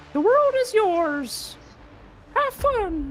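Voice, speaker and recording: A put-on character voice at an extremely high pitch, with very wide pitch swings. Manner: struggling, strained.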